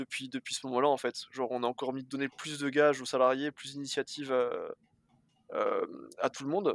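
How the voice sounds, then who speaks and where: Dry and close with no echo, a man's fairly high voice moves at a fairly quick pace in a flat monotone, with long, frequent pauses. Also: big swings in loudness. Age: 20s. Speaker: bicycle courier and dispatcher. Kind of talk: casual interview.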